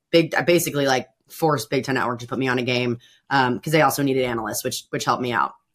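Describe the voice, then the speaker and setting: With an American accent, a woman talks at a very fast pace with ordinary pitch variation. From Bloomington, Indiana. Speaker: sports broadcaster, former college volleyball player. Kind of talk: casual chat.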